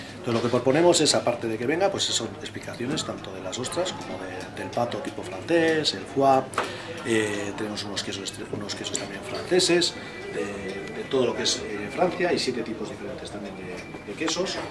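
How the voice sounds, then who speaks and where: With music in the background, a man keeps his speech at a moderate pace. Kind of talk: interview answer. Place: bar.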